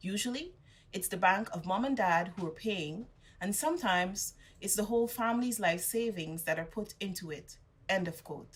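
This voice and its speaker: A woman speaks at a moderate pace with medium pitch. Her voice is somewhat breathy. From Guyana. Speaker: graduate. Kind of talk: commencement speech.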